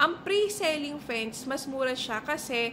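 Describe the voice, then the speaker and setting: A woman talks at a fairly slow pace amid noticeable background noise. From Philippines. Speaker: real estate agent. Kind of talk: tutorial. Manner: animated. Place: home room. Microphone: phone near.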